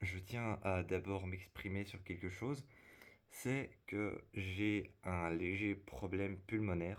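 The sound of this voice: In a put-on character voice, a man talks hoarsely at a fairly low pitch and fairly slow pace, his intonation fairly even.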